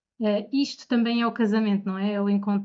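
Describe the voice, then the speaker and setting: Fairly high in pitch, a woman speaks in a monotone, flat way at a moderate pace. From Portugal, Bombarral. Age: 30s. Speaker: bride, podcast guest. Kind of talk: casual interview.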